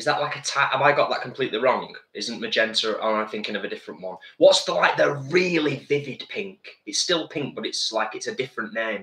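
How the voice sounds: A man speaks at a fast pace with few pauses, his pitch medium and his intonation lively. The tone is fairly bright, and audible room echo surrounds the voice.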